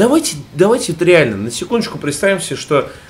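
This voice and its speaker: This is a man speaking. His intonation is lively. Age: 30s. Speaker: gaming podcast co-host. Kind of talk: casual chat. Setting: at home in a room under renovation. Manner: animated.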